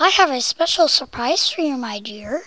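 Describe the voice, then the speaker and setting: Someone uses a put-on character voice pitched high. The pace is moderate. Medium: read story. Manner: warm, gentle.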